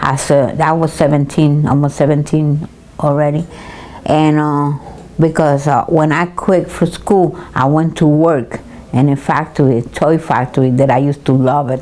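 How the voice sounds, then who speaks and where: At a moderate pace and with very even loudness, a woman speaks in a very deep, low voice over noticeable background noise. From Puerto Rico. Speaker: senior citizen, retired hairdresser. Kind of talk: interview answer, recalling life story. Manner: hesitant, halting, with repeated words.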